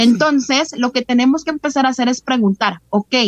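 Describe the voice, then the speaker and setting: A woman speaks at a moderate pace in a high pitch. The sound is dry and close, with no echo. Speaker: holistic therapy facilitator. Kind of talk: interview.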